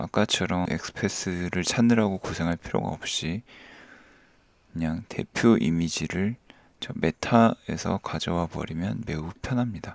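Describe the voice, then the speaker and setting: A man with a very deep, low pitch speaks with lively intonation. The sound is dry and close with no echo, on a very clean recording with a silent background. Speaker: coding tutorial youtuber. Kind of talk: tutorial. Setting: screen recording at home, child sleeping nearby. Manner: sleepy, low-key; soft-spoken.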